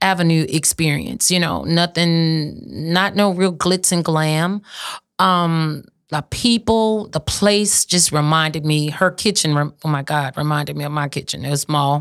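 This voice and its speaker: In a south Louisiana accent, a woman speaks at a fairly slow pace with a very deep, low pitch and ordinary pitch variation, on a very clean recording with a silent background. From south Louisiana, St. Martin Parish. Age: 50s. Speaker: restaurant owner. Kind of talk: casual interview. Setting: studio.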